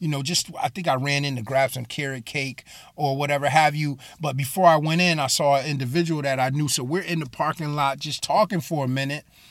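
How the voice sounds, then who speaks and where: A plain, everyday voice from a man with an American accent, fairly high in pitch and fairly quick, with fairly even intonation and hardly any pauses. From Bridgeport, Connecticut. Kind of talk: sermon-style monologue. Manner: casual, with many fillers and repeats.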